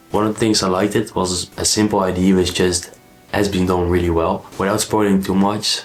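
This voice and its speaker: Noticeable background noise surrounds a man speaking at a fairly low pitch in a monotone, flat intonation. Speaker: book vlogger. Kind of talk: casual book review vlog.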